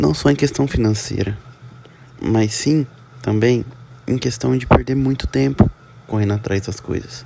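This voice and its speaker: Pitched fairly low, a man swings his pitch very widely. He talks at a fairly slow pace with long, frequent pauses. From interior of São Paulo, Brazil. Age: 20s. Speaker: business student. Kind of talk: student presentation. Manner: halting.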